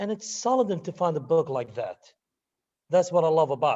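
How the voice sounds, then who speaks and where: With a non-native accent, a man speaks at a moderate pace in a high pitch, his tone dark and mellow and his intonation lively. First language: not English. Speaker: university student. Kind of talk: class testimonial. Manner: halting.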